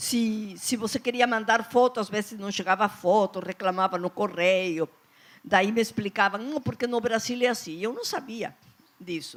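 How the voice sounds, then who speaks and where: A fairly slow delivery in a Peruvian accent. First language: Spanish (speaking Portuguese). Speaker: children's author. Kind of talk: panel talk.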